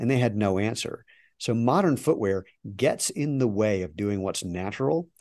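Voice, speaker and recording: A man speaks in an ordinary speaking voice, medium in pitch, at a moderate pace. His intonation is lively, and the background is quiet. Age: 60s. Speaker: footwear company CEO and entrepreneur. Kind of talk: interview.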